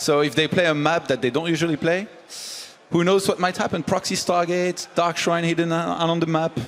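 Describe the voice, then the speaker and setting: Noticeable background noise sits behind a man with a high pitch and fairly even intonation. He speaks at a fairly quick pace with very even loudness. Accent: French. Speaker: esports analyst. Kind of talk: esports analysis panel.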